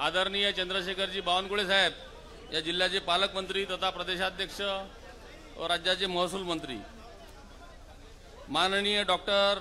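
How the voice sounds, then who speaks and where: A man's raised, projected voice comes through noticeable background noise, high in pitch and monotone with flat intonation. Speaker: politician. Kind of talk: political speech at a rally. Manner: bold, punchy.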